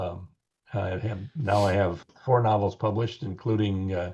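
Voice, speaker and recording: In an Upper Midwest accent, a man talks at a moderate pace in a fairly low, somewhat breathy voice with a dark, mellow tone and ordinary pitch variation against a quiet background. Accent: Upper Midwest American. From US Midwest, rural Wisconsin. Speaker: author and podcast co-host. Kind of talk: interview, casual chat. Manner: halting, many fillers.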